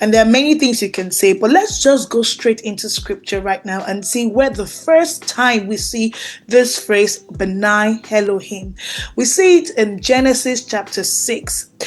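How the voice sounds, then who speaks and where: With a Nigerian accent, the speaker talks at a fairly slow pace with lively intonation. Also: woman, fairly high pitch for a woman. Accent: Nigerian (Yoruba) English. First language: Yoruba. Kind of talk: teaching monologue on scripture.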